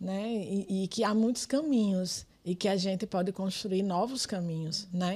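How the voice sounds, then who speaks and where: With hardly any pauses, a woman speaks in a somewhat breathy, dark and mellow voice at medium pitch with ordinary pitch variation. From Brazil, Rio Grande do Norte (Pedro Avelino). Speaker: politician and community activist. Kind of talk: podcast interview.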